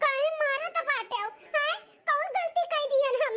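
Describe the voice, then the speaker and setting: A woman in a cartoonish, squeaky character voice, extremely high in pitch with very wide pitch swings, at a fairly slow pace. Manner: stammering when caught.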